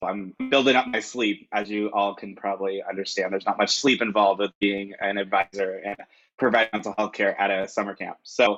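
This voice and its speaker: At a fairly quick pace, a man talks with a fairly low pitch and fairly even intonation in a dry, close sound with no echo. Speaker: grad student and equity advisor. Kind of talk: panel discussion. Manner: loud. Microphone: connection breaking up.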